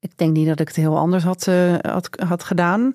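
The sound is dry and close with no echo. A woman with a fairly low pitch speaks in a monotone, flat intonation. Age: 40s. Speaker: journalist and columnist. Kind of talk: interview conversation.

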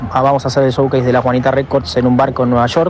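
A man with an Argentine accent speaks at a medium pitch over noticeable background noise. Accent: Rioplatense Argentine Spanish. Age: 20s. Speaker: DJ and electronic music producer. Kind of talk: interview. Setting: recorded voice message.

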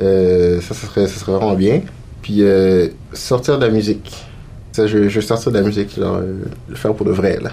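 A man with a fairly low pitch at a fairly slow pace, over noticeable background noise. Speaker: actor and multidisciplinary artist. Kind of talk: casual interview.

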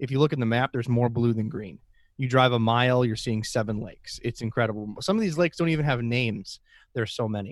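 With an Upper Midwest accent, a man speaks very fast at medium pitch with ordinary pitch variation, in a very clean recording with a silent background. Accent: Upper Midwest (Minnesota). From central northern Minnesota. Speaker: aquarium podcast host. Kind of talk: casual interview chat.

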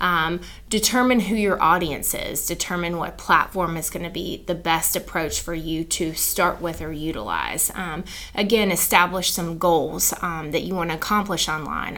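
A woman speaks with an American accent at a moderate pace. Her pitch is fairly low with ordinary variation, and background noise is noticeable. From US South, South Carolina. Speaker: advertising agency owner. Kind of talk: interview.

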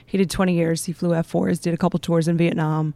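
A woman with a plain, everyday voice speaks at a fairly low pitch with fairly even intonation, in a dry, close sound with no echo. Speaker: air force veteran. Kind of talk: panel discussion.

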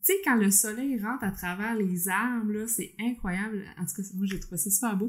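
A woman with a Quebec accent speaks at a fairly high pitch with fairly even intonation. Her voice is somewhat breathy. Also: moderate pace, hardly any pauses. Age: 30s. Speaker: podcast co-host, accountant. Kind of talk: casual chat.

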